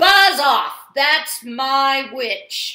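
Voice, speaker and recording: A woman shouts in a put-on character voice, high-pitched, shrill, croaky and growling. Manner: menacing, gruff.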